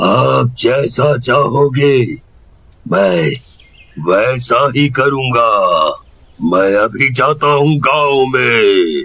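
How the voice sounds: A man does a cartoonish character voice at a medium pitch. He goes very slowly, with long, frequent pauses.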